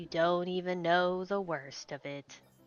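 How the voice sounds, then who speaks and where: A woman puts on a character voice, drawling at a fairly slow pace. Her pitch sits fairly low. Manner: gloomy, droning.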